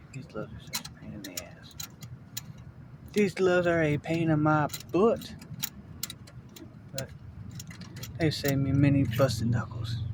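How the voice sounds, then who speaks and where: The speaker mumbles at a moderate pace, with long, frequent pauses. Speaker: car mechanic DIY youtuber. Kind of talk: hands-on tutorial. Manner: mumbling; casual, thinking aloud.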